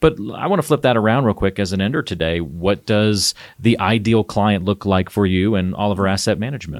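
A plain, everyday voice with an American accent, fairly quick and with hardly any pauses, its pitch varying in an ordinary way. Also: man, fairly low pitch for a man. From US South. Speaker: podcast host. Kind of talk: casual chat.

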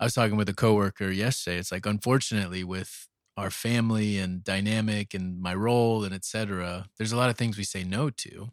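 A man speaks with an ordinary speaking voice, fairly low in pitch, at a fairly quick pace with fairly even intonation. The recording is very clean, with a silent background. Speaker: pastor and podcast co-host. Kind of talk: casual chat. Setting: home bedroom. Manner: relaxed.

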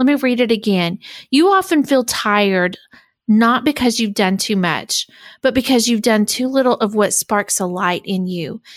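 On a very clean recording with a silent background, a woman with a plain, everyday voice and fairly high pitch talks at a moderate pace. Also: lively intonation. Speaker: podcast host and coach. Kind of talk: interview conversation. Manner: warm, encouraging.

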